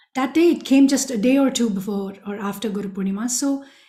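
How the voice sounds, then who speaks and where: A woman with a Tamil accent, fairly high-pitched and somewhat breathy, dark and mellow in tone, at a fairly quick pace. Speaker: spiritual speaker, former student. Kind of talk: personal testimony talk.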